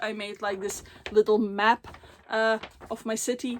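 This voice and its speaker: A moderate pace in a Dutch accent, on a very clean recording with a silent background. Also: woman. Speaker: book vlogger. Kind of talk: casual vlog talk. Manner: frequent fillers, hesitant.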